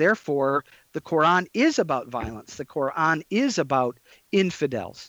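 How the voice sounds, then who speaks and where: In an ordinary speaking voice with an American accent, the speaker goes at a moderate pace, the sound dry and close with no echo and the background quiet. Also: man. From US Midwest (Detroit area, Michigan). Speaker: professor of Islamic studies and pastor.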